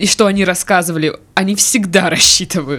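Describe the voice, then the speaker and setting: A woman's moderately paced talk is accompanied by noticeable background noise. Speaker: podcast host. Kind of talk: casual chat. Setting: studio.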